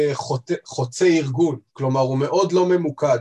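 Fairly slow, somewhat breathy male speech in a fairly high pitch, with ordinary pitch variation. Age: 30s. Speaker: head of quality at a pharmaceutical distributor. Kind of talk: interview.

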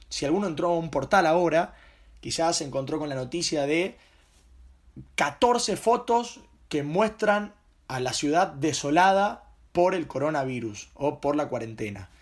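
With a Rioplatense accent, a man of fairly high pitch speaks at a fairly slow pace with lively intonation and long, frequent pauses, in a very clean recording with a silent background. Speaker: journalist and podcaster. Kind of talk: solo podcast monologue.

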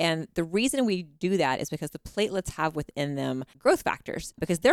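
An ordinary speaking voice from a woman with an American accent, fairly low in pitch, with lively intonation and a fairly quick pace, dry and close with no echo on a very clean recording against a silent background. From Texas. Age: 40s. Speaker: physician. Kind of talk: interview conversation.

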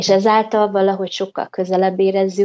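A woman in a plain, everyday voice speaks at medium pitch and a moderate pace, the sound dry and close with no echo and the background quiet. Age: 30s. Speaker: returning emigrant, mother. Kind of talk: interview.

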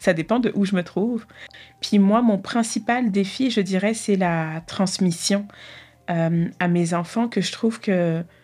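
A woman at a medium pitch with ordinary pitch variation and music in the background. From Paris suburbs (Argenteuil), France. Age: 30s. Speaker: clinical nurse, community organizer. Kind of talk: personal testimony interview. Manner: hesitant, with laughter.

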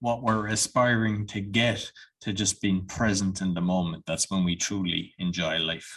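A plain, everyday voice speaks at a moderate pace. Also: man, fairly low pitch for a man. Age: 40s. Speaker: podcast host. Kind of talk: casual interview.

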